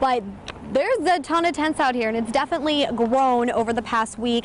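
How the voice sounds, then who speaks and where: Over noticeable background noise, a woman talks at a fairly quick pace with a high pitch. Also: ordinary pitch variation. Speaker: local TV news reporter. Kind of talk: TV news reporter stand-up and live report. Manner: clear, professional, newscaster delivery.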